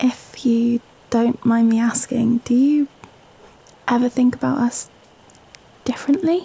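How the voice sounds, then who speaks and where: In a British accent, a woman speaks at a high pitch and a very slow pace, with fairly even intonation. The sound is dry and close with no echo, and background noise is noticeable. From Britain. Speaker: ASMR performer. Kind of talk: girlfriend ASMR script reading, intimate late-night talk. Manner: soft, intimate, hesitant, wholesome.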